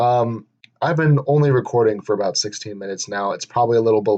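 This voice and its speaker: A man talks at a fairly quick pace in a medium pitch. His intonation is fairly even, and the background is quiet. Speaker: podcaster. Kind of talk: casual monologue. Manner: monotone; halting.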